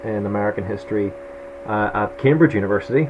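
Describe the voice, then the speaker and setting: A man with a strong Irish accent speaks at a moderate pace in a fairly low pitch with lively intonation, over noticeable background noise. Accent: thick Irish. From Northern Ireland, Belfast. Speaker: history lecturer. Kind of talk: lecture. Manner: hesitant, many fillers.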